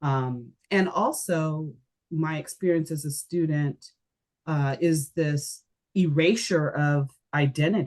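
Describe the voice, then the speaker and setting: Speaking with an American accent, a woman uses a very deep, low pitch with ordinary pitch variation. Her pace is very slow. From Japan then US. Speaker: educational designer. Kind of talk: podcast interview. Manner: many fillers, hesitant.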